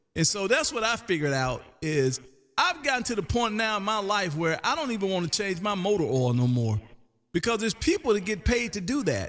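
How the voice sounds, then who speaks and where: This man has a high voice and a Southern US accent. His pitch swings very widely. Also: very clean recording, silent background. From US South (Canton, Mississippi). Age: 50s. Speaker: ham radio live streamer. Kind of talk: casual chat. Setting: radio room, live stream.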